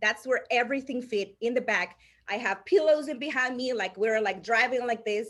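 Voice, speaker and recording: With a Salvadoran accent, a woman talks at a fairly quick pace, her high voice carrying lively intonation. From El Salvador. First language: Spanish. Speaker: insurance agency owner. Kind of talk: interview storytelling. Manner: halting, many restarts.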